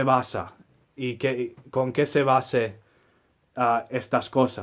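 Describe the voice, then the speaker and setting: With a silent background and a very clean recording, this man's speech unfolds very slowly. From US Midwest, Saint Paul, Minnesota. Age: 20s. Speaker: flamenco guitarist. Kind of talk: personal monologue. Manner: halting, many fillers.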